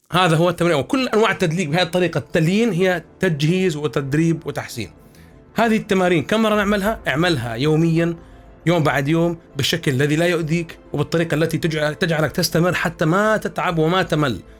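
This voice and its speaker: Over music in the background, a man with a high pitch speaks at a moderate pace, his loudness very even and his pitch varying in an ordinary way. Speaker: voice-over artist and voice coach. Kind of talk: voice training tutorial.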